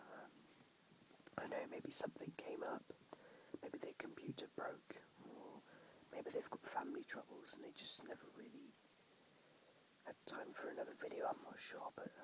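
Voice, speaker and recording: Whispered speech at a moderate pace, broken by long, frequent pauses. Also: man. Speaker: whisper video creator. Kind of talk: casual talk to camera. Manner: quiet, hushed.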